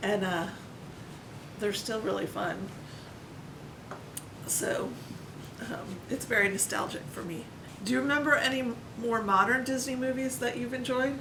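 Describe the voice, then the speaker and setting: The voice moves at a moderate pace with ordinary pitch variation and long, frequent pauses. Audible room echo and noticeable background noise are present. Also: woman, fairly high pitch for a woman. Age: 40s. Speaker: family vlogger interviewing parent. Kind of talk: casual conversation. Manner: hesitant, many fillers.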